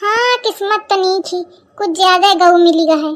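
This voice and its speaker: In a squeaky, cartoonish character voice, a woman talks at a moderate pace with an extremely high pitch and ordinary pitch variation. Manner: gossipy, teasing.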